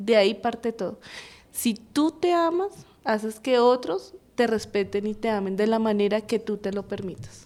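Lively intonation marks a woman speaking at a fairly slow pace with a fairly high pitch in an unremarkable speaking voice. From Colombia, Bogotá. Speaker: university program coordinator in early childhood education. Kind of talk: radio interview.

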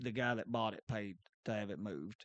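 A man speaks loudly with a bright, sharp tone and ordinary pitch variation. The sound is dry and close, with no echo. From Kentucky, Rowan County area. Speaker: podcast co-host. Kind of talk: casual chat.

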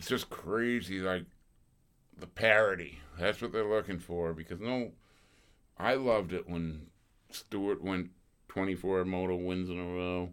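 A man speaks at a fairly slow pace with long, frequent pauses. His pitch is very deep and low, and his intonation fairly even. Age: 60s. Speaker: former motocross racer. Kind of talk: casual chat.

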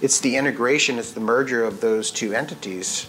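With music in the background, a man speaks at a moderate pace in a fairly low pitch, his intonation fairly even. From Maine. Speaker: CEO and military veteran. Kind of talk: casual interview. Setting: filmed at his company office.

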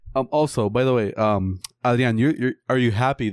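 A man's medium-pitched voice at a moderate pace, with fairly even intonation and a dry, close sound with no echo. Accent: Puerto Rican. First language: Spanish. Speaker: podcast co-host. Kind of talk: casual chat.

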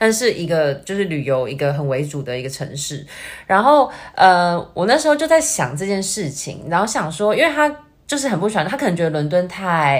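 A woman with a Taiwanese accent talks at a fairly quick pace. Her fairly low voice makes very wide pitch swings. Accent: Taiwanese Mandarin. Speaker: YouTuber. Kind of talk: casual chat. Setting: remote online call.

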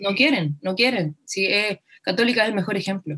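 A woman speaks at a fairly quick pace in an ordinary speaking voice, her pitch medium. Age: 20s. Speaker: footballer and activist. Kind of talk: interview.

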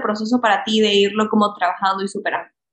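A woman talks at a very fast pace. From Ecuador. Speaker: health coach and podcast host. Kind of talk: casual interview chat.

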